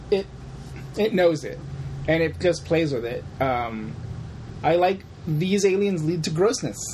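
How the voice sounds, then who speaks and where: Amid noticeable background noise, a man with a fairly high pitch talks with lively intonation and long, frequent pauses. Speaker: podcast co-host. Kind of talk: casual chat.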